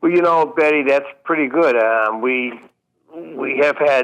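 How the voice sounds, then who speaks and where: A man talks at a fairly slow pace in a plain, everyday voice, with ordinary pitch variation. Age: 60s. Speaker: musician caller. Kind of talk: call-in conversation.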